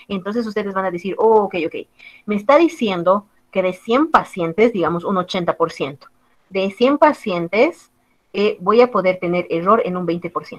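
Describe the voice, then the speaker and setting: With a plain, everyday voice, a woman talks at medium pitch and a moderate pace, her intonation lively and her loudness swinging widely. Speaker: biostatistics teacher. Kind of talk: lecture.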